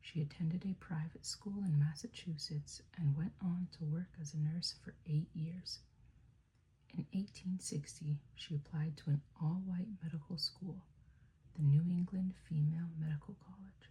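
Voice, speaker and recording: A soft-spoken woman whispers, somewhat breathy, at a fairly slow pace. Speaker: ASMR creator. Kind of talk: ASMR book reading. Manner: whispered, soft-spoken.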